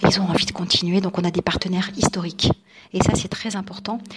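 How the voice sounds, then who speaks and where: Over noticeable background noise, a woman at medium pitch speaks fairly quickly in a flat monotone. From France, Nice. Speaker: journalist and radio presenter. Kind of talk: radio interview.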